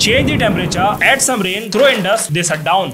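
A man's raised, projected voice over light background noise. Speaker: tech news creator. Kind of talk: tech news commentary. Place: home room. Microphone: studio mic.

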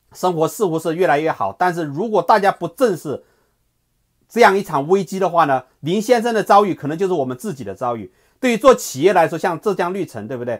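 This man's voice is high-pitched, with lively intonation and big swings in loudness. He moves at a fairly quick pace against a quiet background. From China. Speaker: political commentary host; news commentator. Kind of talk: solo video commentary; commentary. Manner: hesitant, many filler sounds. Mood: serious, critical. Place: home room. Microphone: earbuds.

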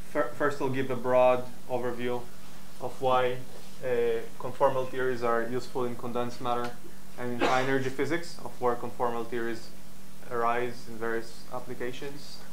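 Over music in the background, a man speaks at a moderate pace in a monotone, flat intonation with long, frequent pauses. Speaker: lecturer. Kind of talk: lecture. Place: hall.

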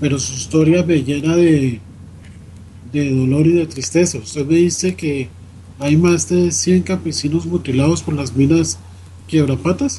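The speaker moves at a fairly slow pace, leaving long, frequent pauses, with very wide swings in pitch. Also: man. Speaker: radio host. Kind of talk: radio interview.

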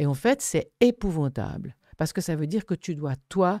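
A woman's fairly low, dark and mellow voice at a fairly slow pace, with a quiet background. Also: dry sound with no echo. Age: 70s. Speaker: thanatologist; guest. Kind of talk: interview conversation. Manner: animated. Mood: earnest, animated. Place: studio. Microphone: studio mic.

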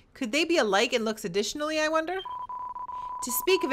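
A woman speaks with very wide pitch swings. Noticeable background noise is heard behind her. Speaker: gaming YouTuber. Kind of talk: let's play commentary. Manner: excitable.

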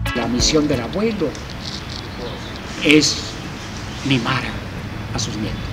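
A man at a very slow pace over loud background noise. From Mexico. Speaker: writer and newspaper columnist. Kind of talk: interview answer. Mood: warm, contented, reflective. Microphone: handheld.

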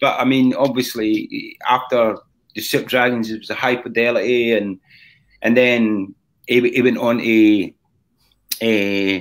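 Speaking in a Scottish accent at a fairly slow pace, a man uses monotone, flat intonation and long, frequent pauses over a quiet background. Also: medium pitch for a man. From Scotland. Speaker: rock drummer and singer; podcast guest. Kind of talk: casual interview. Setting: live-streamed video call. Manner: halting. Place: home room.

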